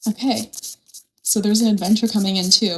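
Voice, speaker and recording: Her voice is somewhat breathy and fairly high in pitch. The woman uses ordinary pitch variation. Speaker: tarot reader. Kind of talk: tarot reading. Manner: animated.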